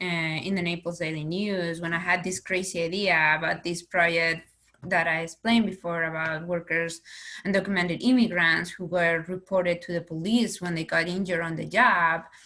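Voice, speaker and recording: With a Spanish accent, a woman speaks at a moderate pace in a fairly low pitch, her tone bright and sharp and her intonation fairly even. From Spain. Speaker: investigative reporter. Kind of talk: panel discussion. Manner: halting, many repetitions.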